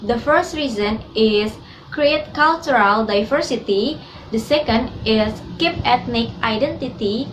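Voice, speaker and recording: A woman with an Indonesian accent, fairly high in pitch, at a fairly slow pace with ordinary pitch variation, over noticeable background noise. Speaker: student. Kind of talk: class presentation.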